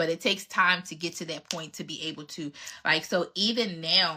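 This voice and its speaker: This woman has a bright, sharp tone, a fairly low pitch and an American accent. Her intonation is fairly even, her pace moderate, and the recording is very clean with a silent background. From Philadelphia, US. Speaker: relationship coach. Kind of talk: live Q&A chat. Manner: casual, conversational.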